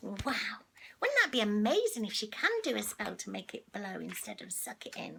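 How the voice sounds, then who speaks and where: Amid noticeable background noise, a woman with a warm tone talks at a moderate pace. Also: big swings in loudness. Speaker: storyteller reading to children online. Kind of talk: children's storybook reading, casual and chatty. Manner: warm, chatty, friendly, talking to the child.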